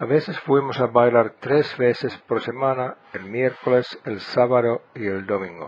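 A man with a Finnish accent, medium pitch, ordinary pitch variation and a fairly slow pace. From Finland. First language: Finnish (speaking Spanish). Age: 70s. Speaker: podcast host. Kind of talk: scripted narration.

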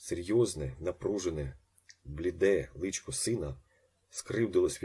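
Just plain reading aloud

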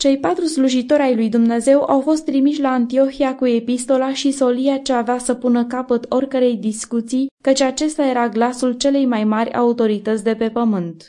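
Speaking with few pauses, a woman uses a high pitch, a dark, mellow tone and fairly even intonation.

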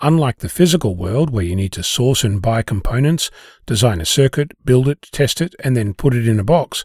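A man with a medium pitch speaks fairly quickly, somewhat breathy, with very wide pitch swings. The recording is very clean with a silent background and a dry, close sound with no echo. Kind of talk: scripted essay reading. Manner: calm, thoughtful, explanatory.

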